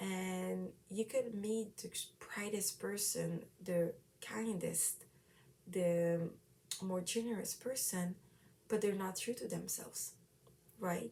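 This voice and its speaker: In a dark, mellow tone, the voice moves at a very slow pace with long, frequent pauses. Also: woman, medium pitch for a woman, ordinary pitch variation. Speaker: self-help vlogger. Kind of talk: casual monologue. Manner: loud.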